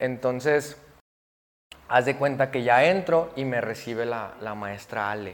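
At a fairly slow pace, a man speaks in a medium pitch with ordinary pitch variation. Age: 20s. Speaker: barber. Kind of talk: casual interview. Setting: barbershop.

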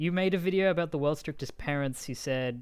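This man speaks with an Australian accent. His intonation is lively. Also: very clean recording, silent background. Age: 20s. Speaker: podcast host and comedian. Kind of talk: casual chat.

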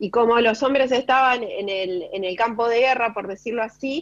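Speaking at a moderate pace with ordinary pitch variation, a woman uses an unremarkable speaking voice pitched fairly high. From Chubut, Argentina. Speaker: educational technology specialist. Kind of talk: radio interview.

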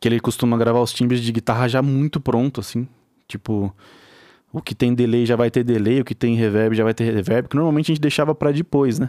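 At a fairly quick pace, a man speaks in a dark, mellow tone with fairly even intonation. The sound is dry and close with no echo, a very clean recording with a silent background. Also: medium pitch for a man. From interior of São Paulo state, Brazil. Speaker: music producer and guitarist. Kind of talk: casual interview chat.

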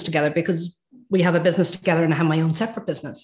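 The speaker is a woman. She has an Irish accent. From Ireland. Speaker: transformative coach, former nursing director. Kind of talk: casual interview chat.

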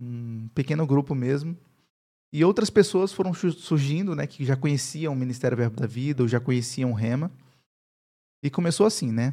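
Speaking at a moderate pace with a dark, mellow tone and ordinary pitch variation, a man is heard on a very clean recording with a silent background. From Brazil, Paraíba (Campina Grande). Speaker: pastor and university professor. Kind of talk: interview, personal testimony.

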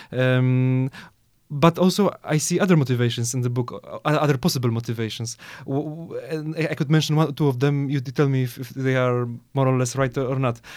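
A man with a Polish accent speaks at a fairly quick pace in a medium pitch, his intonation fairly even, on a very clean recording with a silent background. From Poland. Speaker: podcast host. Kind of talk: interview. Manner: halting, many repetitions.

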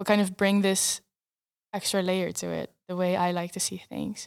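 A woman with a Dutch accent speaks at a moderate pace in a very clean recording with a silent background. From eastern Netherlands, Arnhem. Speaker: filmmaker and photographer. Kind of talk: interview.

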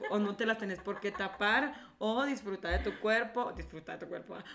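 Against noticeable background noise, a woman talks at a moderate pace with a fairly high pitch, an animated tone, and ordinary pitch variation. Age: 30s. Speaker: podcast co-host, creative director. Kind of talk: casual chat. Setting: studio.

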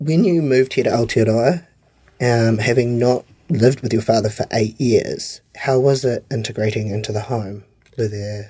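On a very clean recording with a silent background, a man with a New Zealand accent speaks at a moderate pace in a medium pitch, his tone dark and mellow and somewhat breathy. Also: ordinary pitch variation. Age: 30s. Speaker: podcast host. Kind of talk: interview. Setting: studio.

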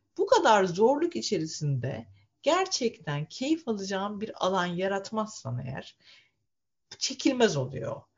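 Speaking very slowly at a medium pitch, a woman's voice swings very widely in pitch and carries vocal fry. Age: 40s. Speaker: lawyer and author. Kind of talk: casual chat.

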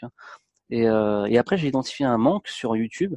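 At a fairly quick pace, a man with a medium pitch speaks in a dry, close sound with no echo. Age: 30s. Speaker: travel blogger. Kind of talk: interview. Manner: halting.

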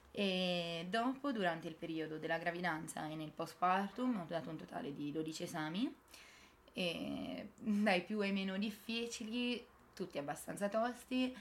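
Lively intonation runs through a normal speaking voice delivered at a fairly slow pace. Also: woman, medium pitch for a woman. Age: 20s. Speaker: medical graduate and mother. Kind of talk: interview.

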